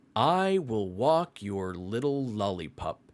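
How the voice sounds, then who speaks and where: A man's put-on character voice, medium in pitch, at a fairly slow pace with very wide pitch swings. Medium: read story. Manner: gentle.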